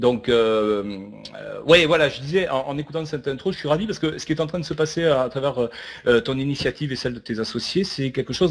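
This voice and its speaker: With a Toulouse accent, a man talks at a fairly quick pace in a fairly high pitch, his pitch varying in an ordinary way. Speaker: network marketing speaker. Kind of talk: online webinar talk. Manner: hesitant, many filler sounds.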